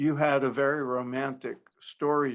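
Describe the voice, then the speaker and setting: A man's unremarkable speaking voice at medium pitch, with an American accent and fairly even intonation. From New Jersey. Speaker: podcast host. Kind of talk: interview.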